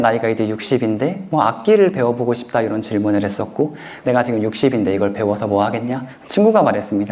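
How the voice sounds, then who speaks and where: Very wide pitch swings mark this man's fairly quick speech, heard with audible room echo and noticeable background noise. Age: 30s. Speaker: author. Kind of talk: lecture Q&A.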